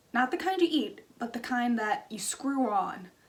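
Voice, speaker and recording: Against noticeable background noise, a woman speaks at a high pitch with very wide pitch swings. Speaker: craft youtuber. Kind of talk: casual vlog storytelling. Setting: home.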